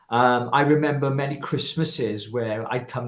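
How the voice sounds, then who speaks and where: A man talks with fairly even intonation in a Welsh accent. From Wales, Llanelli. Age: 50s. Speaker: political activist. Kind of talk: interview testimony.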